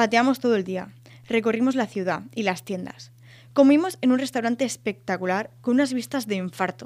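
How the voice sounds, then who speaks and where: Speaking in a normal speaking voice, a woman uses lively intonation at a fairly high pitch. Her pace is moderate. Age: 20s. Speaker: podcast host, student and photographer. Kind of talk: scripted monologue.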